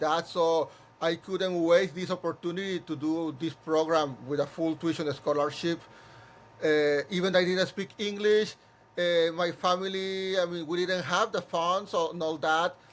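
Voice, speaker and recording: A man with a Spanish accent, high in pitch, at a moderate pace with fairly even intonation. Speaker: musical theatre composer and director. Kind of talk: interview conversation. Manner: halting, many repeated words.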